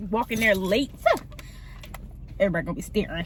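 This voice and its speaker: Over noticeable background noise, a woman talks at a very fast pace in a medium pitch. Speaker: vlogger and nursing assistant trainee. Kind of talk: casual vlog talk to camera.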